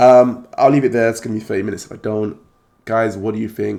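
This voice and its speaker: A man talks very fast in a fairly low, dark, mellow voice with vocal fry. His intonation stays fairly even. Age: 30s. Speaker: card collecting YouTuber. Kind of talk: video monologue.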